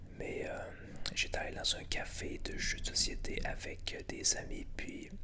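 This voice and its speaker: A man whispers in a Quebec accent over noticeable background noise. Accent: Québécois French. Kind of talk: ASMR board game presentation. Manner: whispered.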